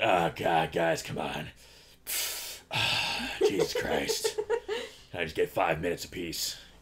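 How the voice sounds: A man speaks slowly in a raspy, put-on character voice, with long and frequent pauses.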